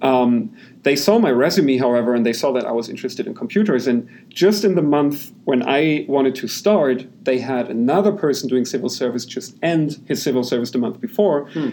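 With a German accent, a man talks at a fairly quick pace, using a medium pitch, lively intonation and a dark, mellow tone. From Germany. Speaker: software company founder. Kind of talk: interview.

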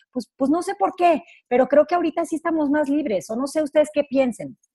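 This is a female speaker. The rise and fall of her pitch is ordinary. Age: 30s. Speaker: radio host and life coach. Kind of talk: casual chat. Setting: radio studio.

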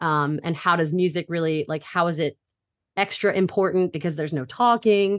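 In an unremarkable speaking voice, a woman talks at a moderate pace with fairly low pitch and ordinary pitch variation against a quiet background. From Brooklyn, New York, then Delaware from age eleven. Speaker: middle school music teacher and choral director. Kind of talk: casual interview.

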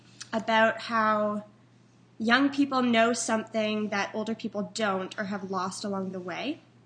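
A woman's normal speaking voice, fairly high in pitch, at a fairly slow pace with fairly even intonation over a quiet background. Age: 20s. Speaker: podcast host and theater student. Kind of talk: interview; scripted intro.

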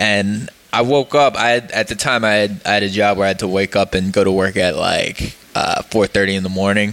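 Noticeable background noise accompanies a man with an American accent, a fairly low pitch and fairly even intonation. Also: moderate pace. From northeastern Pennsylvania (Poconos). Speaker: podcast host. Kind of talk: casual chat.

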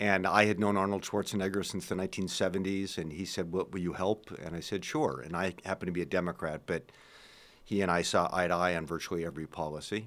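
At a very fast pace and with fairly even intonation, the speech comes through in a very clean recording with a silent background. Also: man, very deep, low pitch for a man. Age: 60s. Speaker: former government advisor and lecturer. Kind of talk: interview. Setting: studio.

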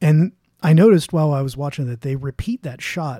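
A man speaks in a dark, mellow, somewhat breathy tone with ordinary pitch variation. The recording is very clean and dry, close with no echo, against a silent background. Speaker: guest co-host podcaster. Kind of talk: casual chat.

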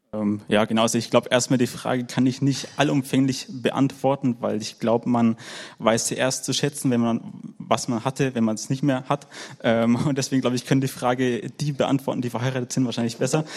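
A man with a plain, everyday voice speaks in a medium pitch. His pace is fairly quick and his intonation fairly even. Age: 20s. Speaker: work educator, church member. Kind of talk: panel talk, personal sharing.

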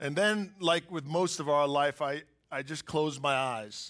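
In a normal speaking voice, a man talks at a fairly slow pace and a fairly high pitch, with ordinary pitch variation. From US, inner city. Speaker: business executive. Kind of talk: testimony. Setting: church stage with audience.

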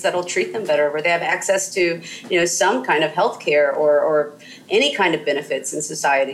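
A woman talks at a fairly quick pace with ordinary pitch variation. Noticeable background noise runs beneath her voice. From US South, southern Mississippi. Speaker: historian. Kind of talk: interview. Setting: call. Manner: halting, many fillers.

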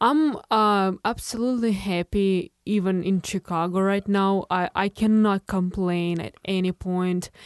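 A woman with a Russian accent and a medium pitch, at a fairly slow pace with hardly any pauses, fairly even intonation, a quiet background and a dry, close sound with no echo. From Russia, Moscow suburbs. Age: 20s. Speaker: artist. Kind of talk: interview. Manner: halting.

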